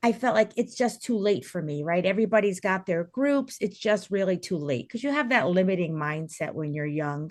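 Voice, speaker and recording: A woman with a New Jersey accent and lively intonation over a quiet background. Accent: New Jersey American. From New Jersey, US. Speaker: teacher and wellness coach. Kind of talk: podcast interview. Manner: loud; energetic.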